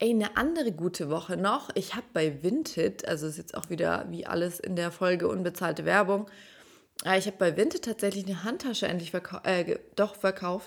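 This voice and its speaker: Fairly quick speech from a woman at medium pitch, an unremarkable speaking voice. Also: ordinary pitch variation. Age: 30s. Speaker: dating podcast host. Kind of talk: casual solo monologue.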